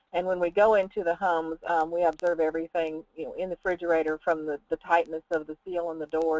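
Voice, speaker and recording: Fairly quick speech in a Southern US accent. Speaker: food safety researcher. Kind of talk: webinar presentation. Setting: online webinar. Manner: hesitant with many fillers.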